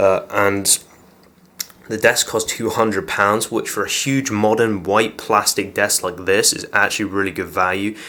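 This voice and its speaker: The speaker has an English accent and a bright, sharp tone. The pace is moderate and the intonation fairly even. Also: man. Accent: English accent, noticeable. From England. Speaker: gaming YouTuber. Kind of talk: casual setup tour talk to camera. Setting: home office. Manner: casual, filler-heavy.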